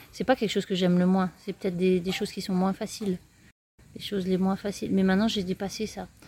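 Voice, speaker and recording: A woman speaks at medium pitch in a dark, mellow, somewhat breathy tone. Her intonation is monotone and flat. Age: 40s. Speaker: eco-tourism project founder. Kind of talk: interview. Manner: hesitant.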